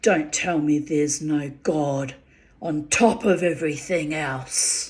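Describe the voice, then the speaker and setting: A put-on character voice, gravelly and middle-pitched, moves at a fairly slow pace. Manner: menacing, matching her energy.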